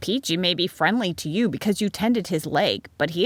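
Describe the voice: What is heard is someone doing plain reading aloud.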